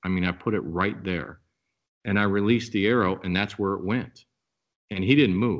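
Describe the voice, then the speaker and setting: With a Midwestern US accent, a man speaks at a moderate pace in a fairly low pitch. His intonation is fairly even, broken by long, frequent pauses. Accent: US Midwest. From Nebraska. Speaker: outdoor products company member and bowhunter. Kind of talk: podcast interview.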